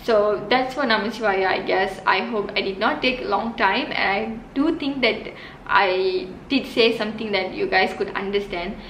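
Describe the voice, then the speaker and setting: A woman with a Tamil accent, fairly high in pitch, at a moderate pace with ordinary pitch variation, amid noticeable background noise and audible room echo. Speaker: religious teacher, video host. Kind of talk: explanatory talk to camera. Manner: halting, many fillers.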